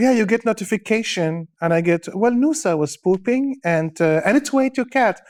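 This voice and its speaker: Moderate-paced speech from a man with a high pitch, dry and close with no echo, on a very clean recording with a silent background. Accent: Arabic. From Syria (born in Dubai). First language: Arabic. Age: 40s. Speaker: stand-up comedian. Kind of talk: casual interview chat. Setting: studio.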